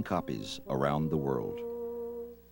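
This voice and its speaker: A man's pitch swings very widely while music runs in the background. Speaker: documentary narrator. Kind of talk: documentary narration.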